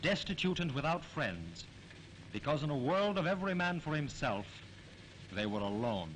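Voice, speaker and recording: At a moderate pace with long, frequent pauses, a man speaks in a fairly high pitch with very wide pitch swings and very even loudness. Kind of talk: newsreel narration. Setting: archival 1940s newsreel recording. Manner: solemn, dramatic.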